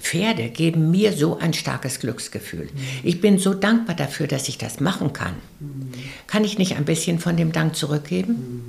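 Over noticeable background noise, a woman with a very deep, low pitch speaks in very wide pitch swings. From West Prussia. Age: 70s. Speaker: philanthropist and rider. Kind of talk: interview.

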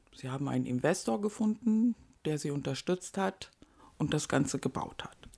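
A woman with a dark, mellow tone and a very deep, low pitch speaks at a moderate pace with very wide pitch swings. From North Rhine-Westphalia, Germany. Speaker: co-owner of a nonprofit housing project. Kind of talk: interview.

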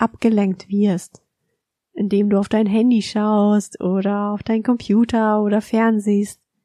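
Against a quiet background, a woman with a fairly high pitch speaks at a fairly slow pace in a dark, mellow, calm and soothing tone, her intonation flat and monotone, the sound dry and close with no echo. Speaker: podcast host and mindful eating coach. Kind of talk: guided meditation. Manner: slow, calm, soothing; gentle, soft-spoken, instructing.

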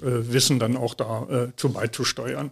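A man speaks over noticeable background noise. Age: 60s. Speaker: family office manager, former bank executive. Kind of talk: interview. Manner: hesitant, many fillers.

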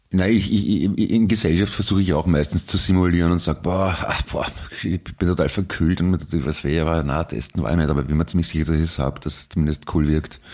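Over noticeable background noise, a man talks very fast in a very deep, low voice with ordinary pitch variation. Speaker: podcast co-host. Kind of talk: casual chat.

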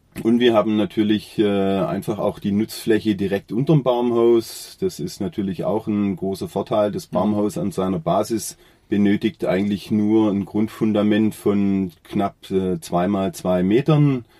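Talking at a fairly slow pace with hardly any pauses, a man uses lively intonation at a fairly low pitch. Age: 40s. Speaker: carpenter and joiner. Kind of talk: interview. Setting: studio, face to face. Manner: hesitant, many filler sounds.

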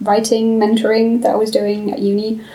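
Over noticeable background noise, a woman speaks at a fairly high pitch. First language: German. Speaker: student, writing society founder. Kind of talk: casual chat.

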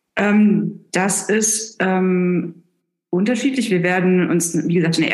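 Audible room echo surrounds a woman as she speaks. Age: 40s. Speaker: planetary scientist. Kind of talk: interview. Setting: remote call. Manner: hesitant with fillers.

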